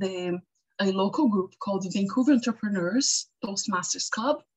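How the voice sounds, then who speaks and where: A woman's somewhat breathy, medium-pitched voice with a non-native accent, ordinary pitch variation and a fairly slow pace. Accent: non-native, noticeable. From Brazil. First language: Portuguese. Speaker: web and graphic designer. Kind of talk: interview advice talk. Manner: halting, with fillers and self-corrections.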